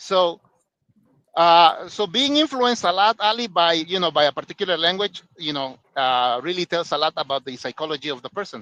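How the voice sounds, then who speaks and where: Someone with a Spanish accent speaks at a fairly quick pace in a bright, sharp tone with lively intonation, in a dry, close sound with no echo. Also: man, high pitch for a man. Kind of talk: casual chat. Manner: halting, many fillers.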